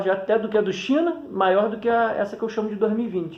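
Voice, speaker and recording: A man at a fairly quick pace. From Petrópolis, Rio de Janeiro, Brazil. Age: 30s. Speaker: kite flyer, YouTuber. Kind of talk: casual interview. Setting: recording himself on phone front camera.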